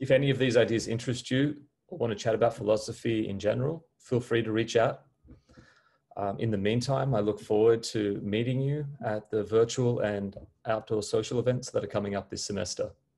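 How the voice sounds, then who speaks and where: This man's voice has a dark, mellow tone and is somewhat breathy. He moves at a fairly quick pace with fairly even intonation. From Australia. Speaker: philosophy professor. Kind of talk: welcome message. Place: home room. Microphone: webcam.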